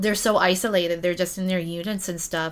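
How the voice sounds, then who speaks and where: On a very clean recording with a silent background, a woman with a Canadian accent speaks at a fairly low pitch. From Ontario, Canada. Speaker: community support coordinator. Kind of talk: casual chat. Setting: in person.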